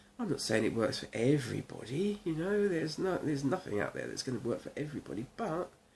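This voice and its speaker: Her pitch swinging very widely, a woman with an English accent talks at a fairly quick pace. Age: 60s. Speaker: video blogger with multiple sclerosis. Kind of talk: casual talk to camera. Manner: halting, many fillers.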